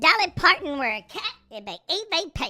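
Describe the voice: In a put-on character voice, the speaker swings very widely in pitch. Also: female-sounding voice.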